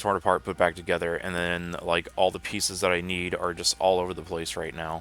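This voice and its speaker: Over music in the background, the voice has a relaxed tone and a monotone, flat intonation, moving at a fairly quick pace with hardly any pauses. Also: man, very deep, low pitch for a man. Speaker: gaming livestreamer. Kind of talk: gameplay livestream commentary. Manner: casual, relaxed.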